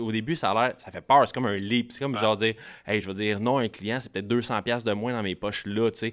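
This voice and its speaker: In a normal speaking voice, a man of medium pitch talks at a fairly quick pace with fairly even intonation. His loudness swings a lot, and the background is quiet. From Quebec. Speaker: marketing expert for coaches. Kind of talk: casual chat. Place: studio. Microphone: studio mic.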